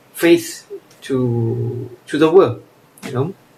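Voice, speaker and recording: A man with a medium-pitched voice talks as noticeable background noise carries on behind him. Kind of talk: casual monologue. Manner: halting.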